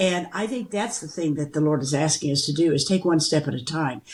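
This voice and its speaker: In a somewhat breathy voice, a woman moves along at a fairly quick pace. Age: 80s+. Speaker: podcast co-host. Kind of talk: casual chat.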